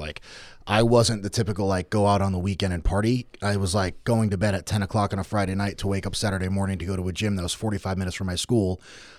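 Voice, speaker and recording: A man with an American accent, very fast and with hardly any pauses, fairly low in pitch with fairly even intonation, on a very clean recording with a silent background. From Norwich, Connecticut. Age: 20s. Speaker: strongman athlete. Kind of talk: casual chat. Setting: studio.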